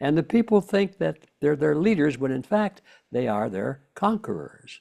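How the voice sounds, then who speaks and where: With vocal fry and very wide pitch swings, a man speaks at a medium pitch on a very clean recording with a silent background. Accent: American. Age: 90s. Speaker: author and researcher. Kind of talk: interview.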